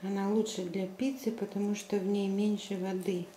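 A woman talks at a very slow pace. Room echo is audible, along with light background noise. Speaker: home vlogger. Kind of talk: casual vlog chat. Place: home room. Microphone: phone near.

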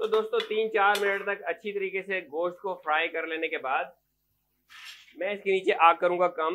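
This man talks at a moderate pace in a high voice for a man, with fairly even intonation.

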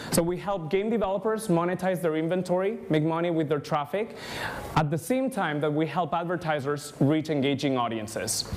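Here a man with a Spanish accent speaks in a high pitch with ordinary pitch variation. His pace is moderate, with light background noise. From Spain. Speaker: ad tech industry speaker. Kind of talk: conference talk. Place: hall.

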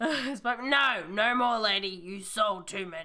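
A female-sounding put-on character voice speaks very slowly at a medium pitch. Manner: scolding, comical.

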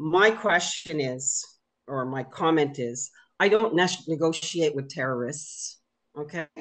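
A woman talks at a fairly slow pace in a very deep, low voice. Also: ordinary pitch variation. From Quebec. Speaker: activist. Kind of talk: heated debate; political discussion comment. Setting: video call. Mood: frustrated, assertive. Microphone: video call.

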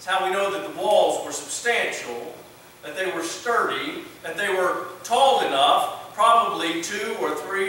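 A raised, projected voice moves at a fairly slow pace with ordinary pitch variation, set against light background noise and strong room echo. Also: man. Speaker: pastor. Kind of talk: sermon. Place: church.

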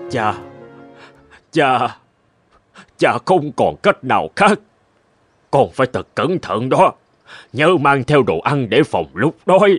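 In a cartoonish character voice, a man speaks slowly at a medium pitch with big pitch swings, a slightly husky edge, and long, frequent pauses over faint music in the background.

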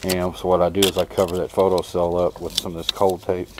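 The sound is dry with no echo. Background noise is noticeable. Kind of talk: tutorial. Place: street.

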